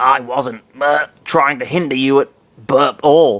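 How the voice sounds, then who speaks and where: A man's raspy, put-on character voice at a medium pitch, delivered at a fairly slow pace. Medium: read story. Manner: burps mid-sentence.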